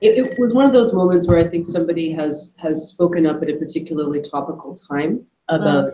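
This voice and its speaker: A woman with a very deep, low voice talks at a fairly quick pace with ordinary pitch variation. Her speech carries audible room echo. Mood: reflective, earnest. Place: meeting room. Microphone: video call.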